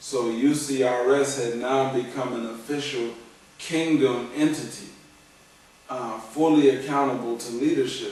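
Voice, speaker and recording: With audible room echo and noticeable background noise, a man of medium pitch speaks fairly slowly, his intonation fairly even but his loudness swinging widely. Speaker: former religious community member. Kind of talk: testimony. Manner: halting.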